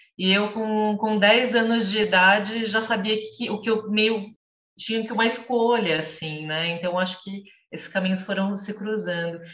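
Audible room echo surrounds a woman's voice. She speaks in a fairly high pitch with fairly even intonation. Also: moderate pace. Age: 40s. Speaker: literature teacher and reading group mediator. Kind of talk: casual chat. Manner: talkative.

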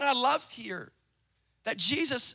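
Here a man uses an extremely high pitch and a raised, projected voice with a bright, sharp tone. His delivery is animated yet fairly slow. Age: 20s. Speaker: pastor. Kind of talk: sermon.

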